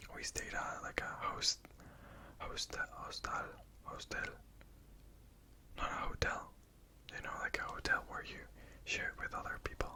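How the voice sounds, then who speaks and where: A woman whispers, with long, frequent pauses. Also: fairly slow pace. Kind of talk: ASMR whispered ramble to camera. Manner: soft-spoken, whispered.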